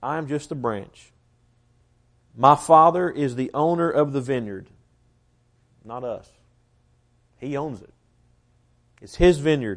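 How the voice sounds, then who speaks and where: In a Southern US accent, the speaker goes at a fairly slow pace with long, frequent pauses. Pitch varies in an ordinary way, while loudness swings widely. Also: man, fairly high pitch for a man. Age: 20s. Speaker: preacher. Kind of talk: sermon. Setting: church.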